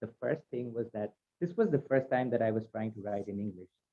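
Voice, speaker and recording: A man with a Bengali accent at a medium pitch. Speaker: playwright. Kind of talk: roundtable discussion.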